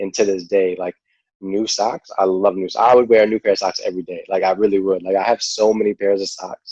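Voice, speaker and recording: A man with a New York accent talks at a fairly quick pace, the sound dry and close with no echo. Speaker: cancer survivor and charity founder. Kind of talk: podcast interview.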